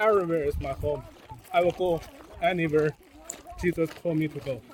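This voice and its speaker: Over noticeable background noise, a man talks at a fairly quick pace in a high pitch with ordinary pitch variation, pausing often and for long stretches. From China. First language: Chinese. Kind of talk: casual interview.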